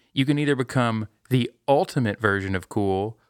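In a plain, everyday voice, a man speaks at medium pitch and a moderate pace, with ordinary pitch variation and a dry, close sound with no echo. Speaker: podcast host. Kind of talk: casual chat.

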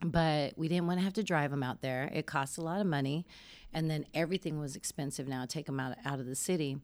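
On a very clean recording with a silent background, a woman speaks very fast in a very deep, low pitch. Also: ordinary pitch variation. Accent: American. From Denver, Colorado. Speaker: youth camp leader. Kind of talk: interview.

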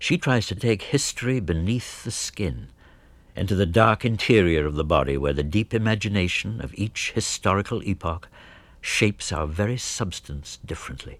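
Lively intonation marks a man's speech at a moderate pace. He has a plain, everyday voice with fairly low pitch. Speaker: radio host. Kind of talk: scripted narration.

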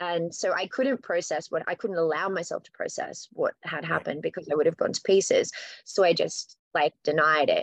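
A woman speaks with an Australian accent at a moderate pace. The sound is dry and close, with no echo. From Australia, New South Wales. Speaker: rock band singer. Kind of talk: casual interview chat.

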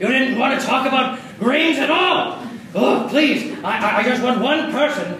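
A man with an extremely high pitch speaks in an animated tone at a moderate pace. Noticeable background noise runs underneath. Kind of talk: fake vintage commercial parody, improvised comedy sketch. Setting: live show with audience, school. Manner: animated, over-the-top sleazy salesman delivery, cracking up; halting, breaking into laughter mid-line.

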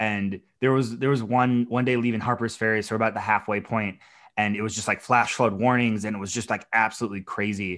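A man speaks at a very fast pace with an American accent. His medium-pitched voice stays monotone and flat. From Minnesota, US. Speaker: thru-hiker and whiskey brand ambassador. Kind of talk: casual chat.

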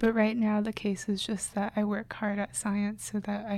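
Her medium-pitched voice somewhat breathy, a woman speaks with monotone, flat intonation. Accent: American. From China, raised in the US from a young age. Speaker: neuroscience grad student and artist. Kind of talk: casual interview.

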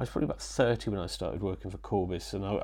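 A man with a Yorkshire accent talks in a fairly low pitch. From Yorkshire (born in Wales). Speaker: photographer. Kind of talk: interview. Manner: halting, many repetitions and fillers.

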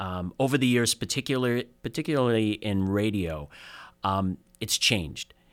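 This man has an unremarkable speaking voice, fairly low in pitch, with lively intonation and a moderate pace. The recording is very clean with a silent background. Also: dry, close sound with no echo. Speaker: career advisor. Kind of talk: interview.

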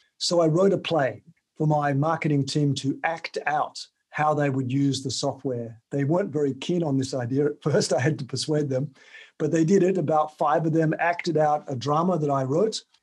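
This man speaks with an Australian accent at a fairly high pitch. His pace is moderate and his intonation fairly even. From Tasmania, Australia. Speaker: author and sales trainer. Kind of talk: interview.

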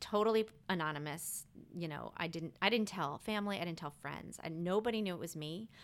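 An ordinary speaking voice, a woman with an American accent talks at a fairly quick pace with a fairly low pitch and ordinary pitch variation in a very clean recording with a silent background. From Maryland, outside Washington DC. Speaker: Instagram photographer, stay-at-home mom. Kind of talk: casual interview.

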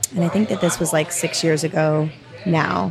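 The voice carries an American accent with fairly even intonation. Music plays in the background. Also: woman. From US Northeast, southern New Hampshire. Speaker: physician assistant and amputee. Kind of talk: casual interview conversation.

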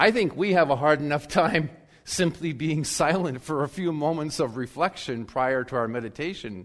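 A man with a plain, everyday voice talks at a fairly high pitch and moderate pace. His intonation is lively, and the recording is very clean with a silent background. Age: 60s. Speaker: pastor. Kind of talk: sermon. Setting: church.

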